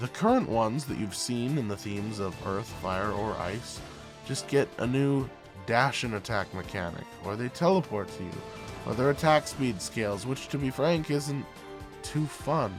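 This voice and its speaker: Music plays in the background as a man speaks at a moderate pace. His medium-pitched voice moves in very wide pitch swings. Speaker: game reviewer. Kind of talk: video game review narration.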